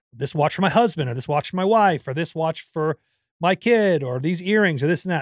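Lively intonation carries speech at a very fast pace. The recording is very clean with a silent background, and the sound is dry and close with no echo. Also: man. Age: 40s. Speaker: podcast co-host. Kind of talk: casual chat. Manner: laughs often.

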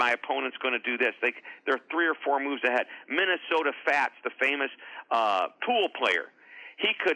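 An unremarkable speaking voice, a man with an American accent at a fairly high pitch, moderate pace and very even loudness. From US Midwest, St. Louis, Missouri. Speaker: author and motivational speaker. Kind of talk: interview.

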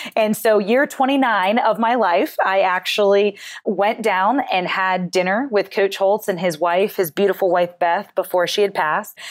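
A woman speaks with an American accent at a moderate pace. Her loudness stays very even, with hardly any pauses. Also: medium pitch for a woman, ordinary pitch variation. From rural US small town. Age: 30s. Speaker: mental performance coach and author. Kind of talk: interview.

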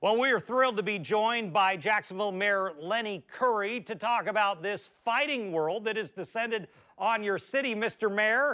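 The voice is raised and projected, with ordinary pitch variation. It moves at a moderate pace with hardly any pauses. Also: man, high pitch for a man. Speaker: podcast host. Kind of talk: sports interview podcast.

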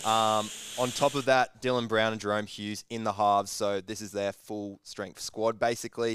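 A man with an Australian accent speaks at a moderate pace and a fairly low pitch, in a monotone, flat intonation. The recording is very clean with a silent background. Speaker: sports betting podcast co-host. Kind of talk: casual banter.

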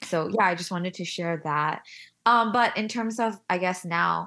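An unremarkable speaking voice, a woman with an American accent talks at a fairly low pitch and a moderate pace with ordinary pitch variation, on a very clean recording with a silent background. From US, Korean American. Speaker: influencer and stay-at-home mom. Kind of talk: casual interview.

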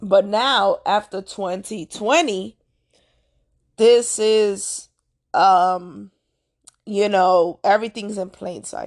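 A woman speaks very slowly at a medium pitch, with fairly even intonation and long, frequent pauses. Her loudness swings widely against a quiet background. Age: 30s. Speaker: astrology and spirituality podcaster. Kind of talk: solo monologue podcast. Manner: casual, rambling with many fillers.

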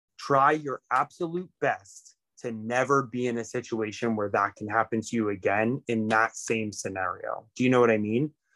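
Recorded very cleanly against a silent background with a dry, close sound with no echo, a man with an ordinary speaking voice talks at a moderate pace with ordinary pitch variation. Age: 30s. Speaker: musician. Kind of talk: casual chat.

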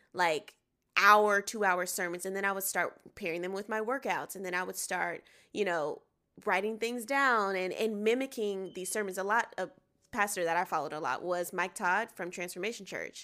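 A woman's bright, sharp, medium-pitched voice with an American accent on a very clean recording with a silent background. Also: ordinary pitch variation, moderate pace. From US South, Atlanta, Georgia. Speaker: singer and actress. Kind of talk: casual interview chat.

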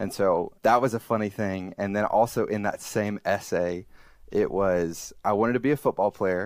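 The recording is very clean, with a silent background. It carries a normal speaking voice with fairly even intonation. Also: man, fairly low pitch for a man, moderate pace. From Alabama, US South. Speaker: software developer, former minister. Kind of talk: interview.

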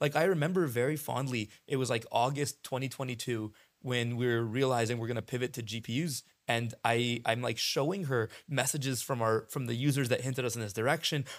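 The man has a plain, everyday voice of medium pitch with ordinary pitch variation. He talks at a fairly quick pace in a very clean recording with a silent background. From US West Coast (San Diego), Lebanese immigrant family. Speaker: startup founder and CEO. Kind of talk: casual interview chat. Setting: in person, on location.

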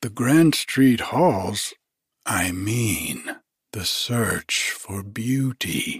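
Using a put-on character voice, a man drawls at a very slow pace in a medium pitch with lively intonation. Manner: drawling.

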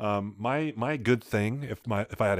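Over a very clean recording with a silent background, a man uses an unremarkable speaking voice at a moderate pace with ordinary pitch variation. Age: 20s. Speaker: podcast co-host. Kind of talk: casual chat.

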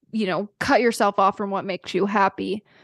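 A woman with an unremarkable speaking voice, fairly even intonation and a moderate pace, in a dry, close sound with no echo against a quiet background. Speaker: podcast host. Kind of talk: casual interview chat.

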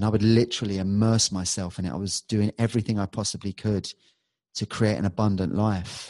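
With a London accent, a man speaks at a fairly quick pace in a fairly low pitch, with a dark, mellow tone and fairly even intonation. The sound is dry and close with no echo, over a quiet background. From London, England. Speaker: hypnotherapist and musician. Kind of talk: casual interview chat.

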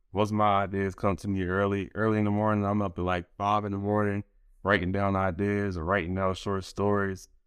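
Fairly quick and flat, a man's monotone voice sits at a fairly low pitch with an American accent. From Philadelphia. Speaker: podcast host. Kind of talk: casual interview chat.

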